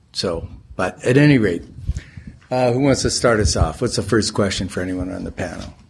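A man with a fairly low, somewhat breathy voice speaks with lively intonation. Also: fairly quick pace. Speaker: panel moderator. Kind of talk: testimony. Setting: stage with audience. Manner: halting.

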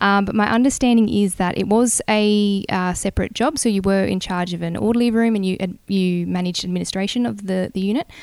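A woman with an Australian accent speaks at a medium pitch with fairly even intonation. Her pace is fairly quick with hardly any pauses, on a very clean recording with a silent background. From New South Wales, Australia (Bungendore, near Canberra). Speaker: air force officer. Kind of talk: interview. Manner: hesitant with many fillers.

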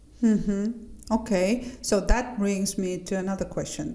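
Noticeable background noise sits under the audio. A woman talks fairly slowly. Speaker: podcast host. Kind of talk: podcast interview, casual chat.

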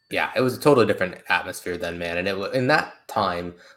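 The voice moves at a fast pace with a fairly bright tone and ordinary pitch variation. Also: man, low pitch for a man.

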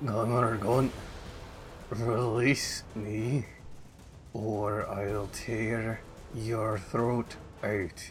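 Putting on a character voice, a man speaks in a strained medium pitch at a very slow pace, with long, frequent pauses over light background noise. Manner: slow, painful, strained.

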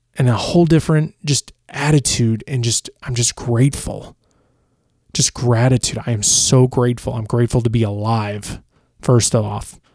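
At a moderate pace and medium pitch, a man with an American accent uses ordinary pitch variation in an ordinary speaking voice. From Chicago. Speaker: podcast host and TV reporter. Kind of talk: personal storytelling monologue. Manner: casual, off the cuff with fillers.

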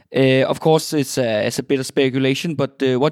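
A man with a Danish accent talks at a fairly quick pace with ordinary pitch variation, recorded dry and close with no echo. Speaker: podcast host. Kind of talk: interview. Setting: internet call. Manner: halting.

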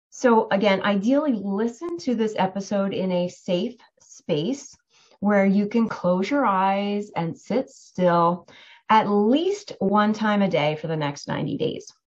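Somewhat breathy, a woman of medium pitch speaks very slowly with lively intonation. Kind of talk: guided meditation.

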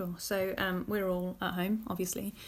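A woman speaks at a fairly quick pace, somewhat breathy, in a monotone, flat intonation. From southern England, Luton. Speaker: teacher and education project founder. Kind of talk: interview. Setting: remote recording from home.

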